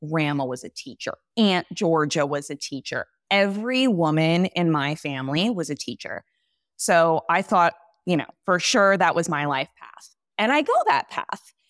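A woman speaks at a moderate pace and fairly low pitch, with lively intonation. The sound is dry and close with no echo, on a very clean recording with a silent background. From California. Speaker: business strategist. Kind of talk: casual interview chat.

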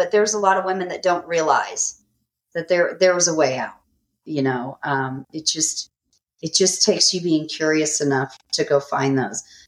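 This is a woman with a normal speaking voice, pitched fairly low. She keeps a moderate pace with ordinary pitch variation. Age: 40s. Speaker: author and abuse survivor. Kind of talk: testimony.

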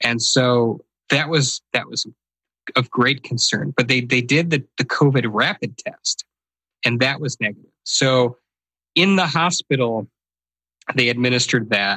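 A man's bright, sharp voice at medium pitch with ordinary pitch variation, fairly slow with long, frequent pauses, in a dry, close sound with no echo. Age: 40s. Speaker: podcast host and psychologist. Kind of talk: interview about his stroke, conversational storytelling.

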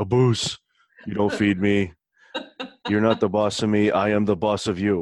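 Using a put-on character voice, a man with a fairly low pitch leaves long, frequent pauses. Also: moderate pace. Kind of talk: comical. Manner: playful, sassy.

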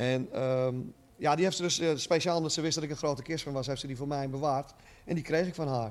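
A man with a plain, everyday voice speaks at a fairly quick pace with fairly even intonation. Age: 50s. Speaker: shop owner and rock fan. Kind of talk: interview.

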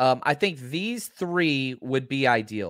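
A man's fairly high-pitched voice with lively intonation, in a very clean recording with a silent background. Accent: American. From Texas, Dallas. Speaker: football podcaster and former high school coach. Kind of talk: casual chat.

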